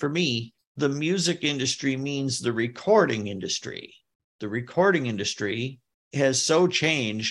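A man's an ordinary speaking voice, medium in pitch, with an American accent at a fairly slow pace. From United States. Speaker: new age pianist and composer. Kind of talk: casual chat.

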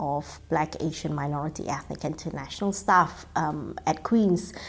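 With typical pitch movement, a woman talks on a very clean recording where the background is silent. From Singapore. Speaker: biomedical researcher. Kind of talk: interview.

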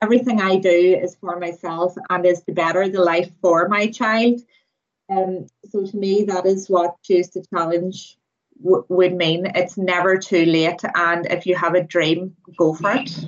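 Fairly slow, fairly even speech in a Northern Irish accent. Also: woman, medium pitch for a woman. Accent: Northern Irish (Tyrone). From Northern Ireland, County Tyrone. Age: 30s. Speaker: student midwife. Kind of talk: interview.

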